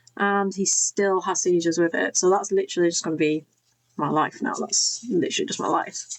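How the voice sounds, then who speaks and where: With a Yorkshire accent, a woman speaks at a fairly quick pace. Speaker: crafting YouTuber. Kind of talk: casual craft tutorial chat. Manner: chatty, rambling with many fillers.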